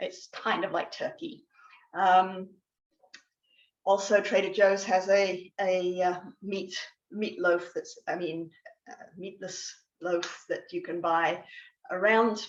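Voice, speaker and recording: With an English accent, a woman speaks at a very slow pace in a flat monotone. Long pauses break up her speech often. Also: medium pitch for a woman. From England. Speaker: guest speaker on plant-based eating. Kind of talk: educational talk. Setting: video call. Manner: hesitant, many fillers and restarts.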